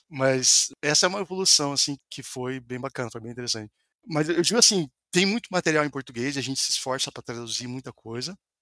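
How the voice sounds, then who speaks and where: Speaking at a very fast pace in a Brazilian accent, a man has a fairly high, bright, sharp voice with ordinary pitch variation and big swings in loudness. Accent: Brazilian accent (in his English). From Brazil, Paraná. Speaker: software developer. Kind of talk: podcast interview.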